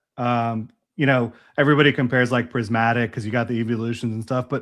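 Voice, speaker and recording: Speaking at a fairly quick clip, a man with an American accent uses a plain, everyday voice at medium pitch, recorded very cleanly against a silent background. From US South, Jacksonville, Florida. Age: 30s. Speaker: Pokemon collector and YouTuber. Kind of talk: casual chat.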